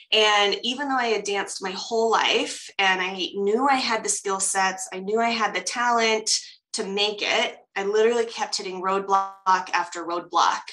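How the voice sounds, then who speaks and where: A woman with a General American accent, her intonation fairly even, over music in the background. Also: medium pitch for a woman, moderate pace. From US, Colorado. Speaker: coach and professional dancer. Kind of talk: interview conversation. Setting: video call.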